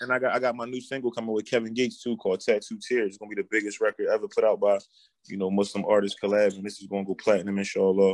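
In a dry, close recording with no echo, a man talks at a very fast pace. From Philadelphia, US. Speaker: rapper. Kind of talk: casual interview. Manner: confident.

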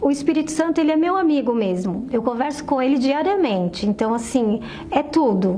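Noticeable background noise sits behind a woman with a high pitch and very wide pitch swings. She keeps a moderate pace at a very even loudness. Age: 50s. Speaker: churchgoer giving a religious testimony. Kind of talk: testimony.

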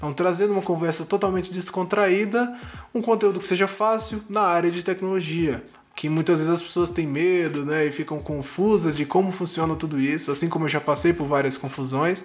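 Talking at a fairly quick pace, a man uses a high pitch and ordinary pitch variation. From Brasília, Brazil. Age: 20s. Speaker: podcast host and instructional designer. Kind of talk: casual solo podcast monologue. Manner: animated.

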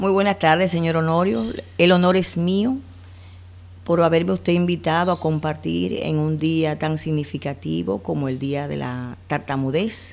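At a fairly slow pace, a woman speaks in a very deep, low pitch with very wide pitch swings. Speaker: speech therapist and clinical psychologist. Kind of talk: interview.

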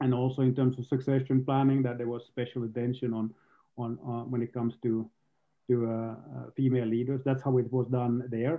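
The delivery has monotone, flat intonation. It moves at a fairly quick pace. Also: man, medium pitch for a man. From Finland. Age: 40s. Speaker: tech executive. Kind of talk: interview.

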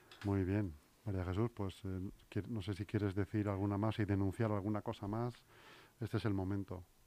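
On a very clean recording with a silent background, a man's dark, mellow voice stays in a flat monotone. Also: fairly low pitch for a man, moderate pace. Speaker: local radio host. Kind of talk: radio interview. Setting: studio.

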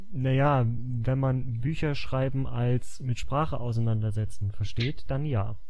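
Against noticeable background noise and audible room echo, a man at a medium pitch talks at a fairly slow pace with hardly any pauses, very even loudness and fairly even intonation. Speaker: podcast co-host. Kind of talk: casual chat.

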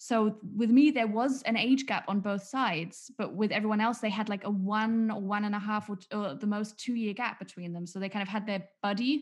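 A woman speaks at a fairly high pitch with ordinary pitch variation. Her voice is somewhat breathy, and she hardly pauses. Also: moderate pace, quiet background. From England. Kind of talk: casual chat.

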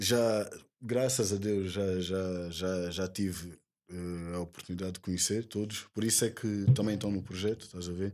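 Recorded very cleanly against a silent background, a man with an ordinary speaking voice talks at a moderate pace, fairly low in pitch, with fairly even intonation. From Portugal, Lisbon (Lumiar). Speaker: rapper. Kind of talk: casual interview.

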